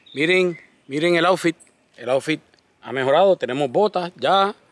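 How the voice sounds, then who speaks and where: A man's voice in a dry sound with no echo. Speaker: home gardener vlogger. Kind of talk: casual vlog chat. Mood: relaxed, lightly humorous. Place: garden. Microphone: phone near.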